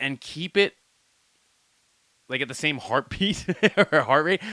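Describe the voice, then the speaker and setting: A man's bright, sharp voice with vocal fry and lively intonation on a very clean recording against a silent background. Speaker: music reaction youtuber. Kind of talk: casual reaction commentary. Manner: loud; animated.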